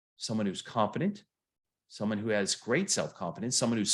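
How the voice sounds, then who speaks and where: With an American accent, the speaker talks at a fairly quick pace in an animated tone with lively intonation over a quiet background. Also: man. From US Midwest, Flint Michigan. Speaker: motivational coach. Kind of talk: online seminar lecture. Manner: fast.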